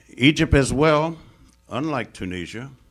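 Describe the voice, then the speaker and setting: Music plays in the background as a man with an American accent speaks at a fairly slow pace with lively intonation. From United States. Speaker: Middle East scholar. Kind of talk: lecture. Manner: formal.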